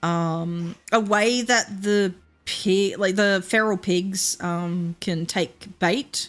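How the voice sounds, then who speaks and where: Music plays in the background. A woman talks at a medium pitch. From Australia, Queensland. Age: 30s. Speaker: VTuber streamer. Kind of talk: casual live-stream chat while gaming. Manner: chatty, halting with fillers.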